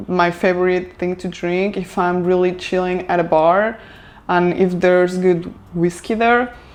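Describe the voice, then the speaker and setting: Speaking at a fairly slow pace, a woman keeps a medium pitch and monotone, flat intonation. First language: Spanish. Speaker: lifestyle vlogger. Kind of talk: casual vlog talk to camera. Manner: hesitant, filler-heavy.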